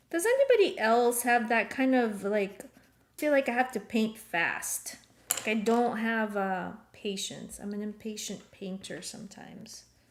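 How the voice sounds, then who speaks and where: A woman with a non-native accent, fairly high in pitch with ordinary pitch variation, at a fairly slow pace and with big swings in loudness. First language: not English. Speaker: art teacher. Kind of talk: live painting class. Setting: live stream video call. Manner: casual, with many filler ums.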